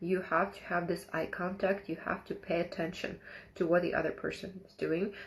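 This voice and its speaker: A woman speaks at a moderate pace and fairly low pitch in a flat monotone, her voice somewhat breathy and her loudness swinging widely. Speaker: live stream host. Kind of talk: live stream talk. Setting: live online broadcast. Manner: halting.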